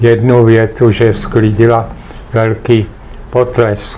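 Noticeable background noise sits under the voice. The pace is very slow. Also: man. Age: 80s+. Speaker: retired teacher and writer. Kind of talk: family interview. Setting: home apartment.

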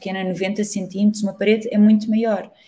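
A woman with a European Portuguese accent speaks in a dark, mellow tone that is somewhat breathy. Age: 30s. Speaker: street artist. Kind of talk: interview.

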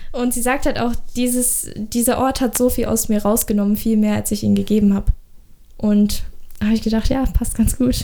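A woman speaks at a moderate pace with a fairly high pitch and a dark, mellow tone. Her intonation is monotone and flat, and her tone sounds nervous. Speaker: podcast co-host, amateur singer. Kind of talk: casual chat. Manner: nervous laughter.

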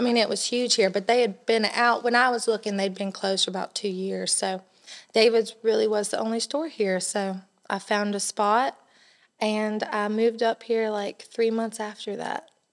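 Fairly even intonation marks this woman's speech in a Southern US accent. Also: fairly high pitch for a woman, moderate pace. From US South, South Carolina (near Columbia). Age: young. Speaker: bridal shop owner. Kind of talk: casual interview.

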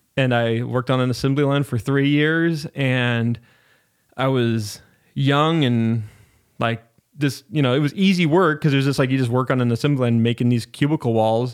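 A man with an American accent talks at a moderate pace, medium pitch, and ordinary pitch variation. The recording is very clean with a silent background and very even loudness. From US Northwest, Spokane, Washington. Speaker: podcast studio owner and producer. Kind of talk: casual interview chat. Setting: podcast studio.

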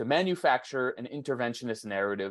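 A man with an American accent, an ordinary speaking voice, medium pitch, ordinary pitch variation and a dry, close sound with no echo. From US, Phoenix, Arizona. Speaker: journalist and documentary filmmaker. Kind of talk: interview.

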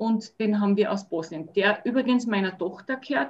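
This woman has a plain, everyday voice. She talks at a fairly quick pace with lively intonation. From Austria, Salzburg region. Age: 50s. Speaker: dog owner and dog sitter. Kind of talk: casual interview chat.

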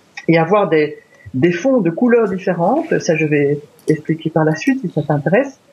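Lively intonation from a man at a fairly slow pace, over noticeable background noise. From Belgium. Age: 50s. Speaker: wildlife photographer. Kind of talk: interview.

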